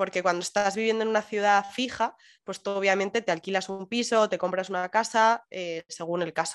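An ordinary speaking voice from a woman at a fairly quick pace with hardly any pauses, on a very clean recording with a silent background. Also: medium pitch for a woman, fairly even intonation. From Madrid, Spain. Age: 20s. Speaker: digital nomad remote worker. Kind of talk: interview.

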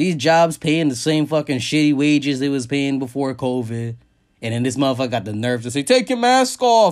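Speaking at a fairly quick pace, a man sounds animated, his fairly high pitch showing ordinary variation. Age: 30s. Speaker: podcast host. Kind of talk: casual solo monologue.

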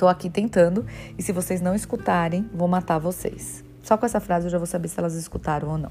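Music plays in the background while the speaker talks at a fairly quick pace. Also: woman. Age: 30s. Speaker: podcast host, health professional. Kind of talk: casual monologue, solo podcast.

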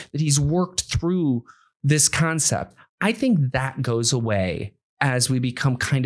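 A man with lively intonation, at a moderate pace. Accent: American. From US Midwest, Akron, Ohio. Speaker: podcast host, entrepreneur. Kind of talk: interview. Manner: halting.

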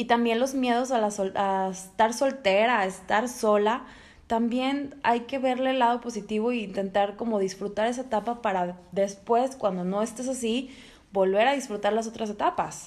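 This woman's voice sits fairly high in pitch and moves at a moderate pace. It is an ordinary speaking voice. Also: fairly even intonation. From Monterrey, Mexico. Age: 30s. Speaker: sales professional. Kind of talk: casual chat.

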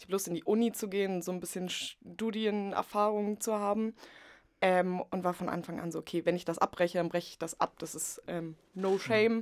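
In a very clean recording with a silent background and a dry, close sound with no echo, a woman with an ordinary speaking voice talks at a moderate pace and medium pitch with fairly even intonation. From Potsdam, Germany. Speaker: media art student. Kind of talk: casual chat.

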